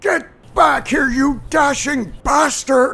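The high-pitched voice moves at a very slow pace. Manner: bossy, aggressive.

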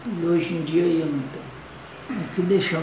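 Noticeable background noise and audible room echo are present. The woman talks very slowly. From Brazil, Bahia. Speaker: grandmother. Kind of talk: interview. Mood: calm, reflective, sad at end. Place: home room. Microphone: webcam.

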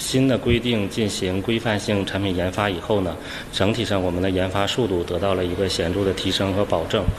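Noticeable background noise accompanies a man with a fairly low pitch. He talks at a moderate pace with fairly even intonation. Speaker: steel research institute staff. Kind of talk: interview soundbite. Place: office.

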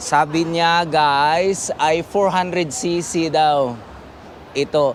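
The speaker is a man. His pitch is high. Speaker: motorcycle vlogger. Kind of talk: casual vlog walkthrough. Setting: indoor motor show. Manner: animated, laughing.

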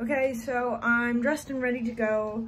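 Light background noise sits under this woman's voice, whose pitch varies in an ordinary way. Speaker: vlogger. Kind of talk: casual vlog chat. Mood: relaxed, playful. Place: kitchen. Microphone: phone near.

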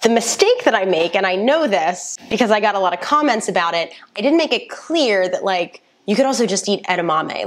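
Lively intonation from a woman, at a moderate pace. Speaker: nutrition creator. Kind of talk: casual vlog chat reacting to her old video. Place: home room. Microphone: lapel.

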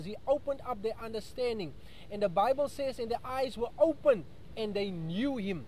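With lively intonation and an extremely high pitch, a man speaks in a dry space with no echo over light background noise. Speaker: preacher, radio Bible teacher. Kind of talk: sermon / Bible study radio broadcast. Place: street. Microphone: earbuds.

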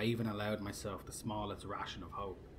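A man with a fairly low pitch speaks in a monotone, flat intonation at a moderate pace, with noticeable background noise behind him. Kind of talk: sci-fi horror story reading aloud, first-person narration from the alien's view.

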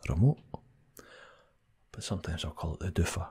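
Soft-spoken and with a Scottish accent, this voice comes over a quiet background. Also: man. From Scotland. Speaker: ASMR creator. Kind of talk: ASMR accent tag, casual talk to camera; soft-spoken casual chat. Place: home room. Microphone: studio mic.

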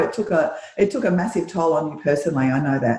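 The speaker has an Australian accent and a moderate pace, with audible room echo around the voice. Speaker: podcast host; interview host. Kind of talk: interview. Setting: video call. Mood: warm, supportive. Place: home room. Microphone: video call.

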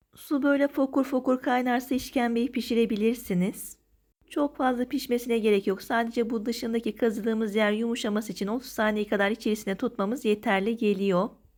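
A woman's fairly high voice at a fairly quick pace, with very even loudness, on a very clean recording with a silent background. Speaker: cooking vlogger. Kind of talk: tutorial. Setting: outdoors. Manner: energetic.

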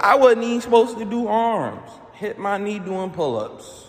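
A man talks very slowly, with light background noise behind him. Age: 20s. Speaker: vlogger. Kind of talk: casual monologue vlog. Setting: gym. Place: gym. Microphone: phone near.

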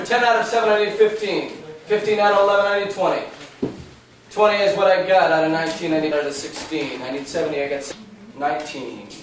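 A man is heard with audible room echo and light background noise around him. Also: ordinary pitch variation. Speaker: auctioneer. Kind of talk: live art auction call. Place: shop. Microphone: old recording.

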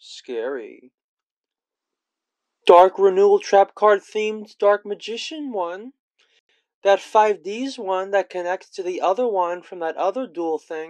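A fairly slow pace broken by long, frequent pauses. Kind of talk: parody infomercial announcer read.

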